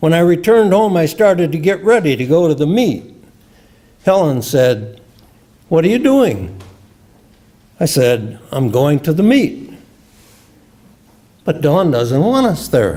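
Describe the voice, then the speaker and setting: A man with a Midwestern American accent and a fairly high pitch, dark and mellow in tone, at a fairly slow pace with very wide pitch swings and long, frequent pauses. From US Midwest, Illinois. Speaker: retired scientist and memoir writer. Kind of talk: reading aloud.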